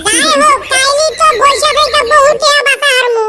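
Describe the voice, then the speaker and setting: This cartoonish character voice moves at a moderate pace. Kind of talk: comic cartoon acting.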